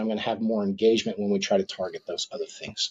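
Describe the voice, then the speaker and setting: Moving at a very fast pace, a man speaks with ordinary pitch variation. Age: 50s. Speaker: physician. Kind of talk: interview.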